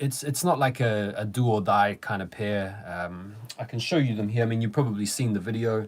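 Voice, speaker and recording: A man speaks with a New Zealand accent. He keeps a medium pitch and a moderate pace. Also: very clean recording, silent background. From New Zealand, Wellington. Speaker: sneaker YouTuber. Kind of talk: live stream chat. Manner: casual, hesitant with fillers.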